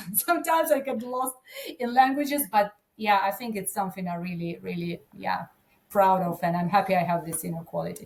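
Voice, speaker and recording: Lively intonation, big swings in loudness and a somewhat breathy quality. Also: woman, medium pitch for a woman, fairly quick pace. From Ukraine. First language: Ukrainian. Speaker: agribusiness conference director. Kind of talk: podcast interview. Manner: halting.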